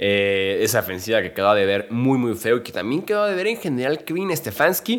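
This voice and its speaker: At a moderate pace, a man speaks while his pitch swings very widely. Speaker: NFL podcast host. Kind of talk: solo sports analysis podcast.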